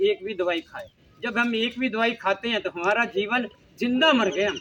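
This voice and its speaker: Noticeable background noise sits behind a man whose high-pitched voice moves with ordinary pitch variation. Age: 70s. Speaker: health talk speaker. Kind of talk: personal testimony talk. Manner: animated storytelling.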